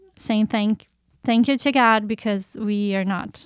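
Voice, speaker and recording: A woman with a Portuguese accent. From Brazil, Curitiba. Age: 30s. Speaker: missionary. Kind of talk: testimony.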